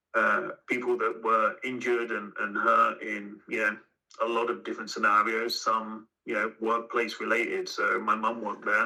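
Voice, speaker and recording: A man with an English accent at a moderate pace. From southern England (Aylesbury, Buckinghamshire). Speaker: company CEO. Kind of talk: podcast interview.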